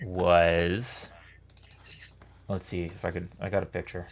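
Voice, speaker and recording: A soft-spoken man with a very deep, low voice. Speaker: musician and arranger in a brass group. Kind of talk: casual chat.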